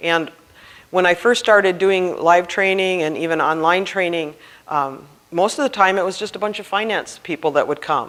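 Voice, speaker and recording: Someone speaks at a moderate pace with a Minnesota accent. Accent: Minnesota accent, still noticeable. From Minnesota, Duluth. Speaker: grants compliance trainer, CPA. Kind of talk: conference presentation.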